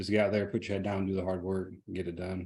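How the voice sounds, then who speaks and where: The background is silent, and the recording is very clean. The voice belongs to a man. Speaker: direct sales team member. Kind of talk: team meeting talk. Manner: fast.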